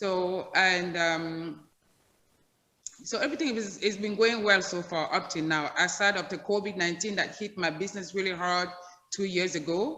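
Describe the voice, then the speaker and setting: A woman with a medium pitch and a bright, sharp tone speaks at a moderate pace with ordinary pitch variation, her voice carrying audible room echo. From Cameroon. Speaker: hair salon owner. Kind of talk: interview.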